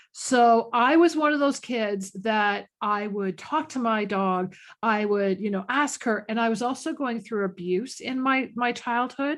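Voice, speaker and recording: Against a quiet background, a woman with a normal speaking voice talks at a fairly slow pace with hardly any pauses. Her pitch is fairly high, with ordinary variation. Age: 50s. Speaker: animal communicator. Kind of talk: interview. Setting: podcast.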